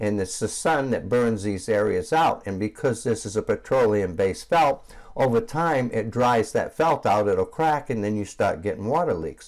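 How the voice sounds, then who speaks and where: A man with a normal speaking voice talks at a medium pitch and a moderate pace, with hardly any pauses. His intonation is lively, and the recording is very clean with a silent background. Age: 60s. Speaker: roof cleaning business owner. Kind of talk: tutorial. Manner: casual, with frequent fillers.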